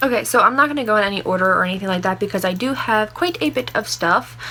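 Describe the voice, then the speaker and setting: Over noticeable background noise, a woman with a fairly high pitch speaks in an animated tone at a very fast pace. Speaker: beauty vlogger. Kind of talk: casual chat.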